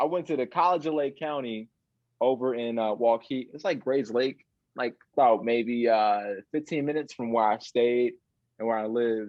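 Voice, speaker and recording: A normal speaking voice from a man with an American accent, medium pitch, ordinary pitch variation and a moderate pace. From Chicago area, Illinois (north of the city). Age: 20s. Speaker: illusionist. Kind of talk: interview.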